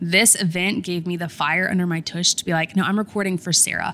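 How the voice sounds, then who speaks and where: Her intonation monotone and flat, a woman talks at a fairly quick pace in a fairly low pitch. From US South, Columbia, South Carolina. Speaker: podcaster and influencer. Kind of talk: interview.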